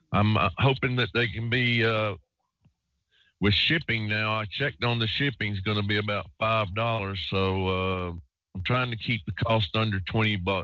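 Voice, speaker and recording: The man has a plain, everyday voice and a fairly low pitch. He talks at a moderate pace with a fairly even intonation. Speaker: radio host. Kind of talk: live call-in radio show. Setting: online radio show, recording line.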